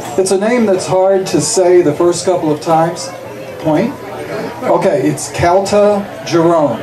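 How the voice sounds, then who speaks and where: Over background music and audible room echo, a man with a high voice talks at a fairly slow pace, his loudness very even, his pitch varying in an ordinary way and his speech broken by long, frequent pauses. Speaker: school board candidate, teacher. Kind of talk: campaign speech.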